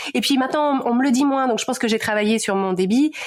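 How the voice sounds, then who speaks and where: A woman's fairly high, lively voice over noticeable background noise. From Paris region, France. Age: 40s. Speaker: podcaster and life coach. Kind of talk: interview. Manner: fast; hesitant, many fillers and repetitions.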